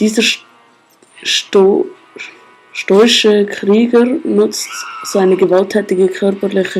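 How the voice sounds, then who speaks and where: A woman with a Swiss accent, very slow and fairly even in intonation, with long, frequent pauses and music in the background. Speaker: gamer. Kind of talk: casual let's play commentary. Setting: home screen recording, poor audio.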